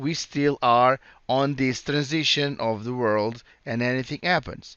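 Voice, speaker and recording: A man with a Portuguese accent, very slow in pace, with ordinary pitch variation. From Portugal. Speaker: cloud solutions architect presenting a tech session. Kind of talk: conference presentation. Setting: virtual conference session. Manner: halting with repetitions.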